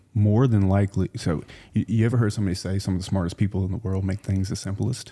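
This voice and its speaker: A man with an American accent talks at a very fast pace in a fairly low, somewhat breathy voice with a dark, mellow tone and fairly even intonation, on a very clean recording with a silent background. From US South, South Louisiana. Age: 30s. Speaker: entrepreneur. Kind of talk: casual chat.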